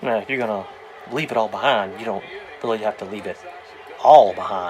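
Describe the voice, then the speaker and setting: A man speaks fairly quickly at a medium pitch, with ordinary pitch variation and big swings in loudness. There is noticeable background noise. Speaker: RV travel vlogger. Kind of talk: casual vlog. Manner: quiet.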